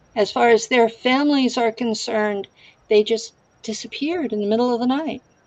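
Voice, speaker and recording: A woman's fairly high voice, a plain, everyday voice, with fairly even intonation and a fairly quick pace. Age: 60s. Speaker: guest claiming insider experience. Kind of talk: interview.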